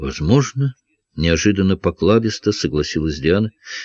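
With lively intonation, a natural voice reads aloud while the background stays quiet.

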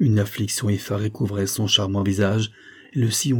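The speaker is reading aloud in a natural voice, and the intonation stays fairly even.

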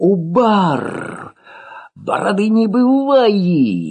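A put-on character voice, shouting at a middle pitch. The pace is very slow. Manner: shouting, fitful.

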